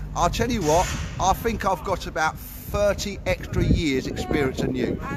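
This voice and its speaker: Over noticeable background noise, a man with a high pitch talks at a moderate pace with lively intonation and very even loudness. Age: 60s. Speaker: army veteran and livestreamer. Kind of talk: heated argument with police officer. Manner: interrupting, talks over others.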